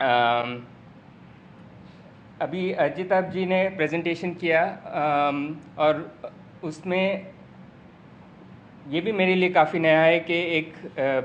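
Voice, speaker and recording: With long, frequent pauses and audible room echo, a man speaks at a high pitch with ordinary pitch variation. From Mumbai, India. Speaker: urban researcher and teacher. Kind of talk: lecture. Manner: halting, many fillers.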